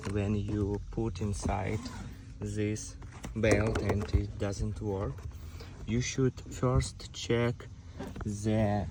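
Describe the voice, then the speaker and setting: A voice with a non-native accent moves at a very slow pace with long, frequent pauses and ordinary pitch variation, amid noticeable background noise and audible room echo. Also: man. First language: not English. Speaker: car owner making a repair video. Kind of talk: tutorial. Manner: halting.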